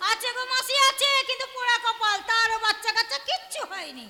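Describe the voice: A woman uses a put-on character voice at an extremely high pitch with a bright, sharp tone. She talks at a fast pace with lively intonation.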